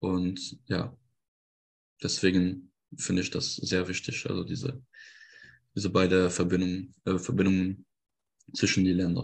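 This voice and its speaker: A man's very deep, low voice against a quiet background, with long, frequent pauses. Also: ordinary pitch variation, fairly slow pace. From France, Lorraine. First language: French (speaking German). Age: 20s. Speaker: electrical engineer. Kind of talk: interview. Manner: halting, many fillers.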